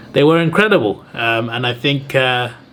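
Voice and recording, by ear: With a fairly bright tone, a man speaks at a moderate pace and medium pitch, using ordinary pitch variation.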